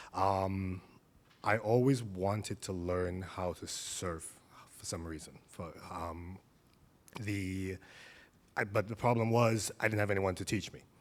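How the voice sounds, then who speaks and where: A man speaks with a very deep, low pitch and fairly even intonation at a fairly slow pace. Long, frequent pauses come through on a very clean recording with a silent background. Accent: slight Caribbean. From Caribbean. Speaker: surf therapy practitioner. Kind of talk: panel conversation.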